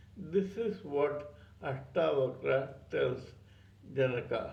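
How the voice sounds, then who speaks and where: Very slow speech from a man with audible room echo. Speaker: spiritual teacher, channel owner. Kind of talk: spiritual talk on scripture. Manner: stuttering.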